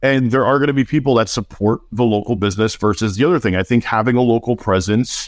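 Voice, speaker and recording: A plain, everyday voice with an American accent moves at a fairly quick pace in a very clean recording with a silent background. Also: man. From New Jersey. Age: 40s. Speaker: digital marketing agency owner. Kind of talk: casual interview.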